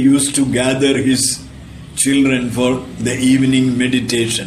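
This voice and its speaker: The speech comes at a moderate pace. Audible room echo and noticeable background noise are present. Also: man. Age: 80s+. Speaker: religious disciple, storyteller. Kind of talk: anecdotal talk, storytelling.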